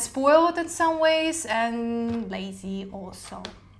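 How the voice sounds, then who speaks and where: A woman's high-pitched voice amid noticeable background noise and audible room echo. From Ukraine. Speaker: podcast co-host. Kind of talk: casual chat.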